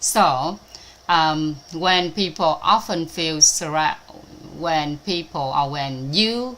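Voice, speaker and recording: A woman's very deep, low voice with a Vietnamese accent over noticeable background noise. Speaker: spiritual teacher. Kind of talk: online talk. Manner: halting, many fillers.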